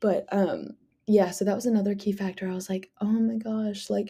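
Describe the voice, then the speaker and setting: The voice is somewhat breathy, with a dark, mellow tone and a monotone, flat intonation at a fairly quick pace. The recording is very clean, with a silent background. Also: woman. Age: 20s. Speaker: podcast host, college student. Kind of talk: casual solo podcast chat.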